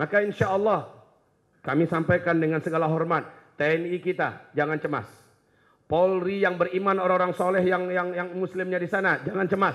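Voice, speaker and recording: Against a quiet background, a man talks at a fairly quick pace with a high pitch. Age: 40s. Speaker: Islamic preacher. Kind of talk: sermon. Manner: animated. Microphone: handheld.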